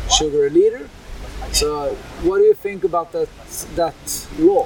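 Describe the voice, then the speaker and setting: A man with a Swedish accent talks over noticeable background noise. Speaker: podcast host. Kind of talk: interview; scripted intro. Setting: trade fair in Berlin.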